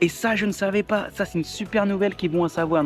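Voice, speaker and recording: With music in the background, a man speaks at a fairly quick pace and with ordinary pitch variation. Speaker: vlogger. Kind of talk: vlog. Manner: casual, hesitant with fillers.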